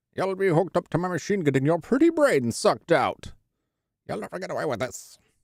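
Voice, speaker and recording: In a very clean recording with a silent background, a man does a squeaky, put-on character voice at a high pitch and a fairly quick pace. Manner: menacing, gloating.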